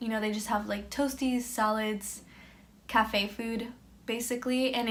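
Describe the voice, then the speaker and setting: With an American accent, a woman speaks in a fairly high pitch at a moderate pace. Her voice is somewhat breathy, with monotone, flat intonation. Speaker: exchange student. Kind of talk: casual talk to camera. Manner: mellow, monotone.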